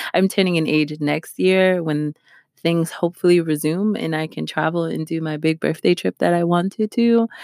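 A woman with an ordinary speaking voice and an American accent, fairly low in pitch, at a moderate pace with fairly even intonation, recorded dry and close with no echo, very clean, with a silent background. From New York. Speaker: podcast host, cybersecurity. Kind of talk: solo podcast, news reading and commentary. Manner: laughs often.

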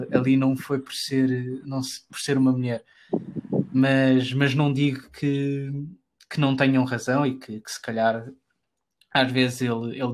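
A man speaks with a Lisbon accent at a medium pitch. His intonation is monotone and flat, at a moderate pace. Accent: European Portuguese (Lisbon). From Portugal, Lisbon. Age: 20s. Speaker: football podcaster, club fan. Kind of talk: casual interview chat. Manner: halting, many repetitions.

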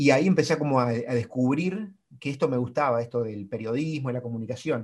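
A man with a normal speaking voice talks at a moderate pace, medium in pitch, with ordinary pitch variation. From Argentina, small town in Santa Fe province. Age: 40s. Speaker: marathon runner and sports communicator. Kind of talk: casual interview chat.

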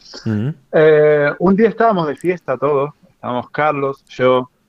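A man speaks at a fairly slow pace with lively intonation, in an unremarkable speaking voice. His pitch sits fairly high for a man. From Argentina, Mar del Plata. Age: 30s. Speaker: podcaster and streamer. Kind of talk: casual interview. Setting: remote call.

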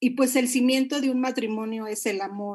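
The delivery, in an ordinary speaking voice, keeps a fairly even intonation. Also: woman. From Monterrey, Mexico. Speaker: pastor. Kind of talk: sermon-style marriage talk.

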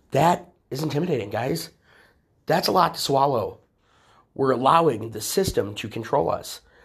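A man with an American accent speaks at a moderate pace in a fairly high pitch, sounding somewhat breathy. His tone is animated and his intonation lively. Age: 30s. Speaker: political activist and show host. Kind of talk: political commentary monologue.

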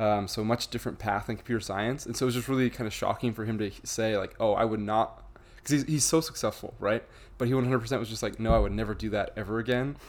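A man with an American accent talks at a very fast pace, with a medium pitch, vocal fry and fairly even intonation. The recording is very clean with a silent background. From Idaho. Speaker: software engineer. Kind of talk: casual interview.

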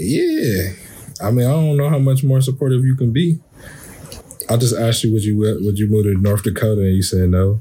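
A man with an American accent talks at a fairly quick pace in an ordinary speaking voice. His pitch is medium with ordinary pitch variation, and his loudness stays very even. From Columbus, Ohio, US Midwest. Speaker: podcast co-host and coach. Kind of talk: casual chat.

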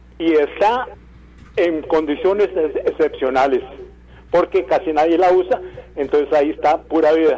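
A man at a moderate pace, with long, frequent pauses, very even loudness and noticeable background noise. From Costa Rica, Heredia. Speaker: caller. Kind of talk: phone-in opinion.

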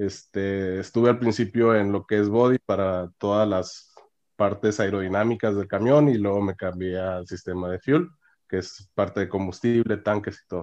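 Over a quiet background, the voice keeps a moderate pace and fairly even intonation. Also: man, fairly low pitch for a man. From northern Mexico (Monclova, Coahuila; Monterrey). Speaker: mechatronics engineer. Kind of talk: interview. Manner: halting, frequent fillers and repetitions.

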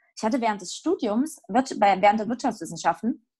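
A woman with a fairly high pitch and a somewhat breathy voice speaks at a moderate pace with lively intonation. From Saxony, Erzgebirge. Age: 30s. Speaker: theologian and actress. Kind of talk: casual chat.

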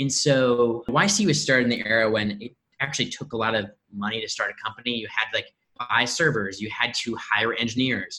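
With a Midwestern American accent, a man of medium pitch talks at a fairly quick pace, his tone bright and sharp and his intonation fairly even. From US Midwest, Indianapolis. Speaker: startup growth lead. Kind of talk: casual interview.

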